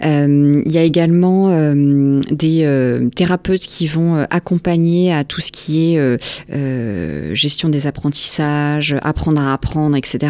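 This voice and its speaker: Against noticeable background noise, a woman speaks at a very slow pace. Her pitch is very deep and low, her intonation fairly even. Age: 40s. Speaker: founder of a center for neurodivergent children. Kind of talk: radio interview. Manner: hesitant, many fillers.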